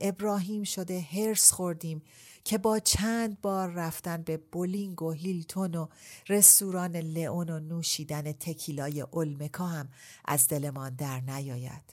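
In a very clean recording with a silent background, a woman with an ordinary speaking voice talks at a fairly slow pace in a fairly low pitch with ordinary pitch variation. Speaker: audiobook narrator. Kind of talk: casual interview chat.

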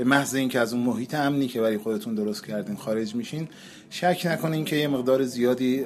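Here is a man's plain, everyday voice. It sits at a medium pitch and shows ordinary pitch variation. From Iran, Qazvin. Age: 30s. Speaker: touring cyclist and transit truck driver. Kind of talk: interview.

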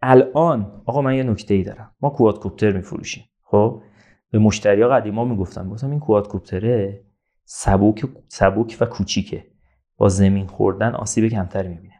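With a quiet background behind him, a man speaks at a fairly quick pace in a fairly low pitch with ordinary pitch variation. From Iran, Zanjan. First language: Azerbaijani Turkish (speaking Persian). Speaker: entrepreneur, marketing expert. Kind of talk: casual interview.

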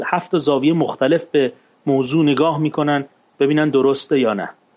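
A man talks at a moderate pace, his fairly high voice keeping a fairly even intonation. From Iran, Tehran (Shemiran). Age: 40s. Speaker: former stockbroker and capital market expert. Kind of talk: interview, personal testimony. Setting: studio.

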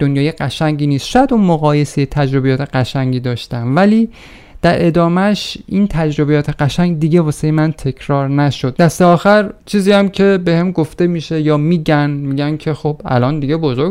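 An unremarkable speaking voice from a man, fairly high in pitch, at a moderate pace with ordinary pitch variation and hardly any pauses. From Iran, a provincial town. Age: 40s. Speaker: podcaster. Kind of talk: personal narrative monologue.

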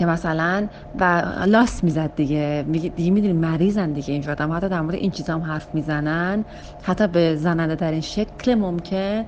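Against noticeable background noise, a woman speaks at a moderate pace in a fairly low voice with ordinary pitch variation. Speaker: interviewee sharing a personal story. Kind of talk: casual storytelling.

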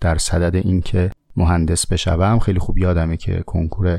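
A man speaks at a moderate pace with a Tehran accent, his tone dark and mellow. The recording is very clean, with a silent background. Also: dry, close sound with no echo. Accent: Tehrani Persian. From Tehran, Iran. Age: 30s. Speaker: podcast host. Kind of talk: casual monologue answering listener questions.

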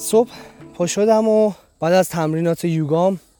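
A man's high-pitched voice with a dark, mellow tone, ordinary pitch variation and a fairly slow pace, in a very clean recording with a silent background. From Iran. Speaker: travel podcaster. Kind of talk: travelogue narration. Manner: animated.

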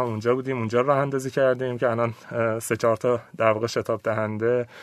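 His pitch sits in a medium range. The male speaker's delivery is flat and monotone throughout. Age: 30s. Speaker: innovation and investment consultant. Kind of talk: interview. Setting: studio.

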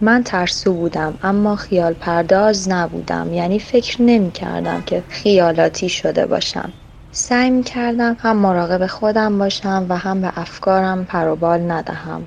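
A woman's normal speaking voice, a normal speaking voice at medium pitch, fairly even in intonation, with hardly any pauses. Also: moderate pace. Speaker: story reader. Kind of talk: reading aloud.

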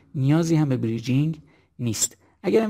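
The man's pitch is fairly high and somewhat breathy. His tone is dark and mellow. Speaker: cardiologist. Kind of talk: lecture. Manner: formal.

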